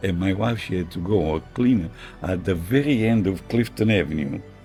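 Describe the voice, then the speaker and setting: Music plays behind a man with a very deep, low voice. He keeps to a moderate pace. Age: 80s+. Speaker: tailor. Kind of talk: interview answer.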